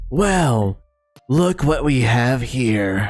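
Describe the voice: A man does a put-on character voice at medium pitch. It comes out raspy and creaky.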